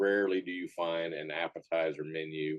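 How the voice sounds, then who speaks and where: The man's voice has a dry, close sound with no echo. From Texas. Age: 60s. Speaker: chef and barbecue restaurant owner. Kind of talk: interview. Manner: conversational with frequent fillers.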